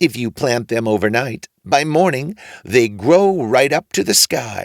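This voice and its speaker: Using a put-on character voice, a man talks at a fairly slow pace with a medium pitch and lively intonation, in a dry, close sound with no echo. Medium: read story.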